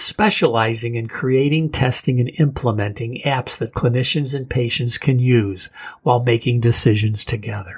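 A man's somewhat breathy voice moves at a fairly slow pace. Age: 60s. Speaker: podcast host. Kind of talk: interview, opening with a rant.

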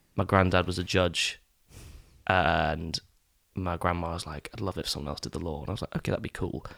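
A man with an English accent and a very deep, low pitch speaks at a fairly quick pace, yet with long, frequent pauses and fairly even intonation. The sound is dry and close with no echo, in a very clean recording with a silent background. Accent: English-sounding. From Scotland, East Neuk of Fife. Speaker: actor. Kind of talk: casual chat.

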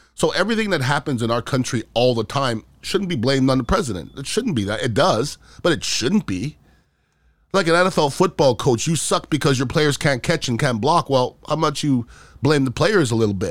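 Recorded very cleanly against a silent background, a man with an ordinary speaking voice talks with lively intonation. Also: fairly high pitch for a man. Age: 50s. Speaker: podcast host. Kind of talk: casual political commentary monologue.

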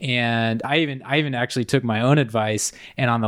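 A man with an American accent speaks at a fairly quick pace in a plain, everyday voice, medium in pitch with fairly even intonation, on a very clean recording with a silent background. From Indiana. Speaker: mountain guide. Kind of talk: casual chat.

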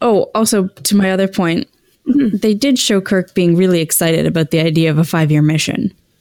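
A woman with an unremarkable speaking voice talks at a fairly quick pace and medium pitch, her intonation lively and her loudness very even, in a dry, close sound with no echo. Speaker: podcast host. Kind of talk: casual chat.

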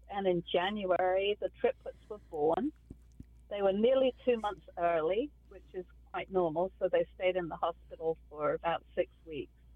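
A woman with a southern English accent, medium pitch, ordinary pitch variation, a moderate pace and big swings in loudness. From southeast England, Kent. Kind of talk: casual interview chat.

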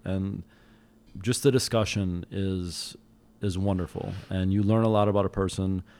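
A man with an unremarkable speaking voice speaks at a fairly low pitch with fairly even intonation. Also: moderate pace. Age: 30s. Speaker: guest. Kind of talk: casual chat.

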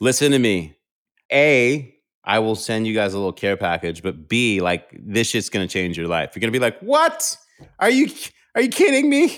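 A man speaks with an American accent at a moderate pace. The recording is very clean, with a silent background. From New York City. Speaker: sports commentator and TV host. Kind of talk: casual interview chat.

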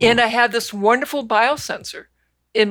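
This woman has a plain, everyday voice and talks at a moderate pace. Her intonation stays fairly even. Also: very clean recording, silent background. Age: 60s. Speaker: physician and medical researcher. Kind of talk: interview.

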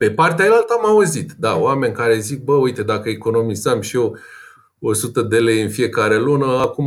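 With an ordinary speaking voice, a man talks at a fairly slow pace using lively intonation. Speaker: personal finance blogger and investor. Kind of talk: interview.

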